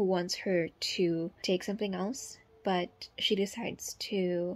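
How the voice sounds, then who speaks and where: Fairly even intonation from a woman speaking. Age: 20s. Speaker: book vlogger. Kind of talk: casual reading vlog. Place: home room. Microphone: phone near.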